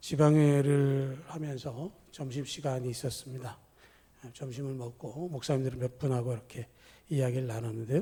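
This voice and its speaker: A man talks at a moderate pace with medium pitch and ordinary pitch variation. His tone is dark and mellow, somewhat breathy. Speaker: pastor. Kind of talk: sermon.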